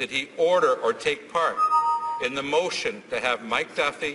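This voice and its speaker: The pace is moderate. Noticeable background noise can be heard. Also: man. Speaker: opposition politician. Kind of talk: parliamentary question. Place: hall. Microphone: podium.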